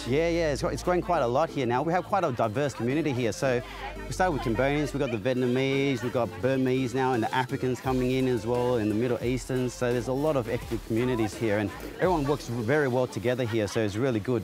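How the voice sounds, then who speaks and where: A man talks at a very fast pace with very even loudness. Clear music plays in the background, and the sound is dry with no echo. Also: ordinary pitch variation. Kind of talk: interview answer. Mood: warm, proud of community. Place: market.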